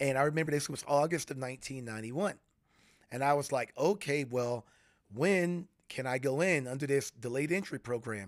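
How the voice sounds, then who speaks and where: In an American accent, this plain, everyday voice moves at a fairly quick pace with ordinary pitch variation. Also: man, fairly high pitch for a man, very clean recording, silent background. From US South, Florida (St. Petersburg/Tampa Bay). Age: 40s. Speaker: retired Air Force veteran and furniture maker. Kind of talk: casual interview. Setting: in a home, face to face.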